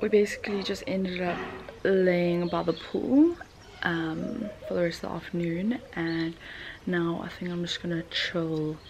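A woman with a fairly low voice talks against noticeable background noise. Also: ordinary pitch variation, fairly slow pace. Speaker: vlogger. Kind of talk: casual vlog chat. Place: home room. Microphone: phone near.

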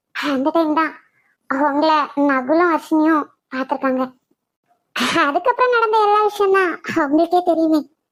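A woman performs a cartoonish character voice. Her pitch is extremely high. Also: moderate pace, lively intonation. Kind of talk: cartoon melodrama. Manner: familiar, affectionate, emotional.

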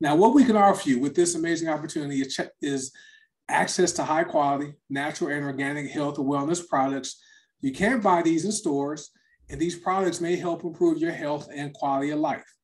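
An ordinary speaking voice from a man, fairly high in pitch, at a fairly quick pace, with ordinary pitch variation against a quiet background. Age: 50s. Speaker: network marketing presenter. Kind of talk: sales pitch. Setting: online livestream presentation.

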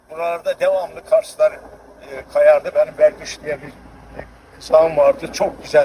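Heard with dry, close sound and no echo, a man talks at a moderate pace with big swings in loudness over noticeable background noise. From Turkey, Kars. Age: 80s+. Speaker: local elder. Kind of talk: casual chat.

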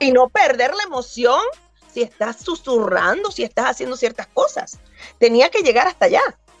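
Faint music plays in the background of this dry recording with no echo. A woman talks at a moderate pace in a high pitch. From Cuba. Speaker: voice actor. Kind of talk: interview answer. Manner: casual, chatty. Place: home room. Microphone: video call.

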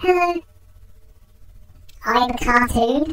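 A woman puts on a high-pitched character voice.

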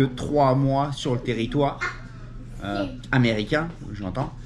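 A man with ordinary pitch variation against noticeable background noise. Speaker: family vlogger. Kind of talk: casual vlog chat. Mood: pleased, upbeat. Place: home room. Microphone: phone near.

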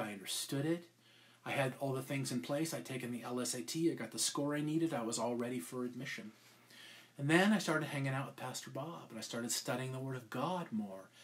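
Ordinary pitch variation marks a man's fairly quick delivery. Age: 50s. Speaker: podcast co-host and preacher; pastor. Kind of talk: sermon. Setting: live stream. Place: home room. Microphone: webcam.

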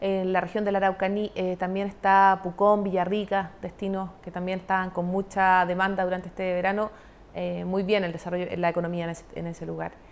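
Here a woman talks at a fairly quick pace. Her intonation is monotone and flat. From southern Chile, Los Lagos region. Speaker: government tourism official; guest. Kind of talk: broadcast interview. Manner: hesitant with many fillers. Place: studio. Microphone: lapel.

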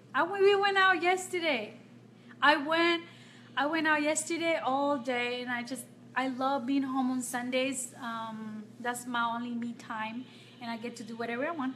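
Over light background noise, a woman talks at a high pitch with a bright, sharp tone. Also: ordinary pitch variation, moderate pace. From Nicaragua. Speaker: makeup vlogger. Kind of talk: live-stream makeup tutorial. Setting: home, live video stream. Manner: casual, chatty with frequent fillers. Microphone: phone near.

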